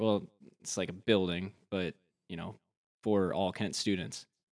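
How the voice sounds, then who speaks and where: Against a quiet background, a man with an American accent and an ordinary speaking voice talks fairly quickly at a fairly low pitch. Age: 20s. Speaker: mortgage professional. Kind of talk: casual chat.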